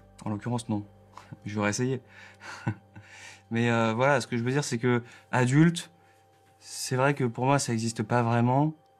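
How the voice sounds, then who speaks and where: Long, frequent pauses from a man at medium pitch, with fairly even intonation and a moderate pace. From Alsace, France. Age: 20s. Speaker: electronic musician. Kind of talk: therapy session conversation. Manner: halting.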